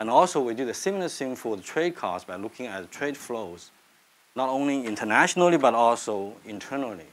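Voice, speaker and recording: The man's intonation is lively. He moves at a fairly quick pace. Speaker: economist. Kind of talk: lecture. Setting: stage with audience. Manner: halting. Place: classroom.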